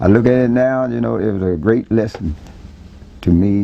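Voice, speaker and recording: With a Southern US accent, a man talks at a moderate pace with lively intonation. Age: 60s. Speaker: neighborhood resident interviewed. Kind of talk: oral history interview. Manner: halting, many repeated words.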